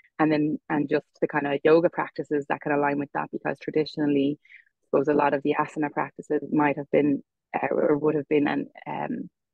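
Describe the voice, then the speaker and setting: In a western Irish accent, a woman talks at a fairly quick pace with a very deep, low pitch, a monotone, flat intonation and big swings in loudness. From Ireland, Galway. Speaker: yoga teacher. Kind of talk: podcast interview. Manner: hesitant, many fillers.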